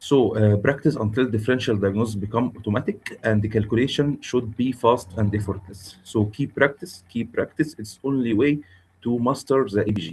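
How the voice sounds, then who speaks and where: A man's somewhat breathy voice at a medium pitch, with an Arabic accent, a fairly quick pace and ordinary pitch variation. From Egypt. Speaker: intensivist lecturer. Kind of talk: lecture. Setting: video call webinar. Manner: halting, many filler sounds.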